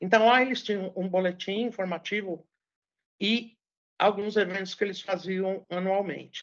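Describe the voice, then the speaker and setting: Here a woman uses a normal speaking voice at a medium pitch. She keeps a moderate pace and fairly even intonation. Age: 60s. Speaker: journalist and public relations professional. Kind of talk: interview.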